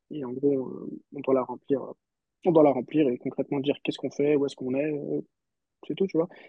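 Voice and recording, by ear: A man speaks with a fairly high pitch. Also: dry, close sound with no echo.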